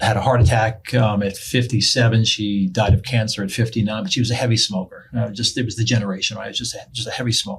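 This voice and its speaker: In an American accent, a man with a somewhat breathy voice speaks at a medium pitch and a fairly quick pace. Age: 60s. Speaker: pastor and police chaplain. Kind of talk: casual interview.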